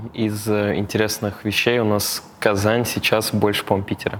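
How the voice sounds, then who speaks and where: A man at a moderate pace, fairly low in pitch, in a monotone, flat intonation. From Tatarstan, Russia. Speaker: operations executive. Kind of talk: casual interview.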